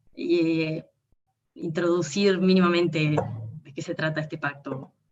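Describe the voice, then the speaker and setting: A woman speaks at a very slow pace. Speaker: online event moderator. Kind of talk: moderating an online talk, reading viewer messages.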